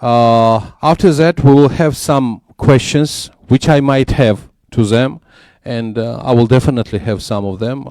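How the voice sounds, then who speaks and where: A man with a Georgian accent speaks at a fairly slow pace, his medium-pitched voice dark and mellow in tone. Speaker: panel moderator and business journalist. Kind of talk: conference panel moderation. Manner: hesitant, many filler sounds.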